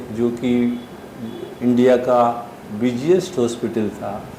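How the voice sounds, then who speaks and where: Noticeable background noise accompanies a man talking. The room echo is audible. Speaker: pulmonologist. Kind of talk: interview. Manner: halting.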